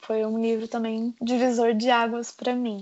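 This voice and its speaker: Her voice is fairly high for a woman, her intonation monotone and flat. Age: 20s. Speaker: medical student. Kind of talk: casual chat.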